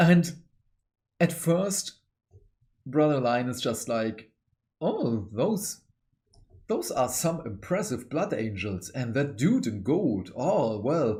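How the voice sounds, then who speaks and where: Very slowly and with long, frequent pauses, a man with a non-native accent speaks at a medium pitch, his dark, mellow tone somewhat breathy and his pitch swinging very widely. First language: not English. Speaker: book reviewer, hobby channel host. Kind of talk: book review monologue. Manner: animated.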